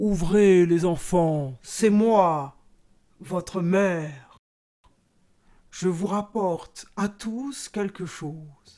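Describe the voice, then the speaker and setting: Using a put-on character voice at a medium pitch, a woman speaks very slowly with long, frequent pauses. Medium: read story. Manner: sly and wheedling.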